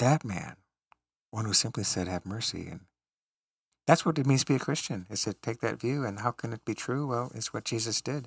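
A man speaks at a fairly quick pace in a normal speaking voice, with medium pitch and ordinary pitch variation. The recording is very clean, with a silent background and a dry, close sound with no echo. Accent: General American. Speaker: college professor. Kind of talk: casual conversation.

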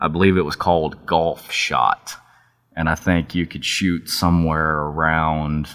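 A man's very deep, low voice with a Texan accent, monotone, flat intonation and a moderate pace. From Texas. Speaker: outdoor TV videographer. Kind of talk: casual interview. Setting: office.

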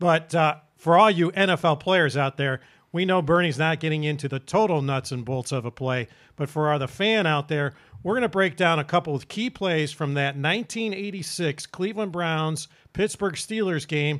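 A man with a plain, everyday voice, fairly high in pitch, with ordinary pitch variation, at a moderate pace, on a very clean recording with a silent background. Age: 60s. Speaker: sports show host. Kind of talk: casual sports talk.

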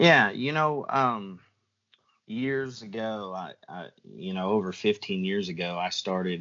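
A man with an American accent has an unremarkable speaking voice and a fairly low pitch. He speaks at a fairly slow pace with lively intonation. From US Midwest, Southwest Missouri. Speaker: predator hunting call designer and video host. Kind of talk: casual chat.

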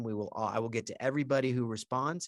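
A man's medium-pitched voice at a fairly quick pace, with ordinary pitch variation, on a very clean recording with a silent background. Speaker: insurance podcast host. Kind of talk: casual interview. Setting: studio at company offices. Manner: loud.

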